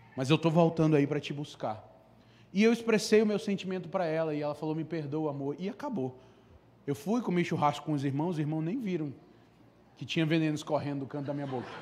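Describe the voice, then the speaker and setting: Speaking at a very fast pace with an animated tone, the voice shows ordinary pitch variation and long, frequent pauses. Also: man, fairly high pitch for a man. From Brazil, Amazonas. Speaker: preacher. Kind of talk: sermon. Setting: church service with congregation. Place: church. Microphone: handheld.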